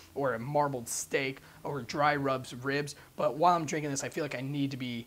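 Intonation stays fairly even as a man talks at a fairly quick pace. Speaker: presenter. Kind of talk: wine review chat. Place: shop. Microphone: lapel.

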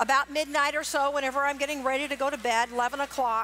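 A woman's raised, projected voice, bright and sharp, fairly quick, with fairly even intonation and light background noise. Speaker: cooking demonstrator for a poultry association. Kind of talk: live cooking demonstration. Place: stage. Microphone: headset.

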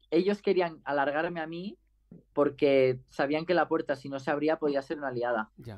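Over a quiet background, a man with a fairly high voice talks at a moderate pace with ordinary pitch variation and big swings in loudness. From Spain, Catalonia. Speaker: racing driver; guest. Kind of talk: interview; interview answer. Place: home room. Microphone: video call.

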